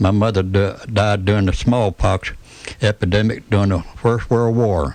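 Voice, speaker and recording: Noticeable background noise sits behind a man speaking with a Tennessee accent at a moderate pace. His fairly low voice keeps very even loudness and fairly even intonation. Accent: US Southern (Tennessee). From Tennessee, Chattanooga. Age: 70s. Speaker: retired restaurant owner and civic figure. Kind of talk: radio interview. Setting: studio.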